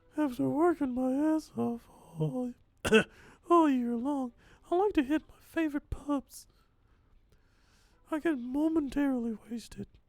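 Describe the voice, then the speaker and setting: A high-pitched, put-on character voice is used. Long, frequent pauses break up the speech. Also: fairly slow pace. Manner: confiding, lowered voice.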